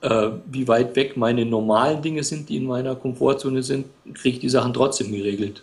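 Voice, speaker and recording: Somewhat breathy, a man speaks at a fairly quick pace and a medium pitch with ordinary pitch variation. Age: 40s. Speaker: blogger and freelance writer. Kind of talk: interview.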